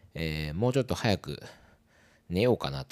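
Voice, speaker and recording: A man whispering at a fairly quick pace. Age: 40s. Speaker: podcast host. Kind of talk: casual monologue. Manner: hesitant, many fillers.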